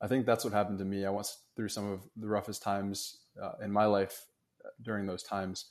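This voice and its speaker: A man speaks at a fairly quick pace in a fairly low, monotone voice with flat intonation. The background is quiet. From Mexico. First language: Spanish. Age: 20s. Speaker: author and health coach in training. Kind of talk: casual interview.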